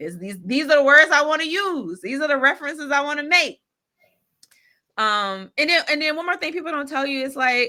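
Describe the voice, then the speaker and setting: In an American accent, a woman speaks at a fairly quick pace with lively intonation and an animated tone, her pitch high and her tone bright and sharp. Her voice is raised and projected, on a very clean recording with a silent background. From South Carolina, Greenville. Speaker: life coach and author. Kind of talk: podcast interview. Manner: animated, emphatic.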